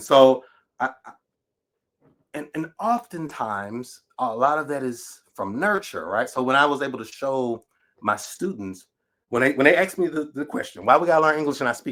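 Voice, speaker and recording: Speaking in a Southern US accent, a man keeps a moderate pace. His fairly high voice swings widely in loudness. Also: lively intonation. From Natchez, Mississippi. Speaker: writer, educator, PhD candidate. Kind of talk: podcast interview answer.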